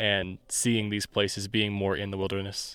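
Very clean and set against a silent background, this recording features a man. He has an American accent and a fairly low pitch. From US Midwest, Indiana. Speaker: production assistant and assistant editor. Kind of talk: casual chat. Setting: outdoors on a mountaintop.

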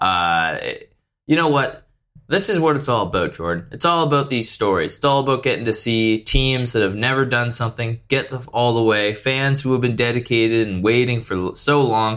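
Moderate-paced male speech with ordinary pitch variation on a very clean recording with a silent background. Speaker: podcast host. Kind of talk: radio dj patter. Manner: booming showman opener, hyped; rambling, stumbling and repeating words.

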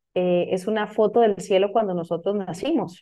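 A woman's medium-pitched voice, a plain, everyday voice, at a moderate pace with fairly even intonation. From Costa Rica. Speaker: business coach and astrologer. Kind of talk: casual interview.

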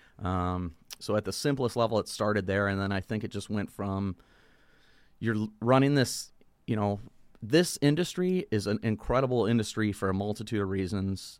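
At a moderate pace, a man with a fairly low pitch and ordinary pitch variation speaks in an unremarkable speaking voice. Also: very clean recording, silent background. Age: 40s. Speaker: brewery owner. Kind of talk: casual chat.

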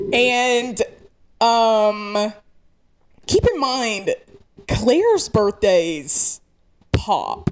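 Pitched fairly high, a woman with an American accent speaks at a very slow pace, using lively intonation and long, frequent pauses. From rural north Georgia, US South. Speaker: podcast co-host. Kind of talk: casual chat. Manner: animated storyteller.

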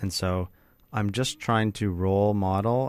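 A man speaks in an unremarkable speaking voice, fairly low in pitch. His intonation stays fairly even at a moderate pace. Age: 30s. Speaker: podcast host. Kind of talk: casual interview conversation.

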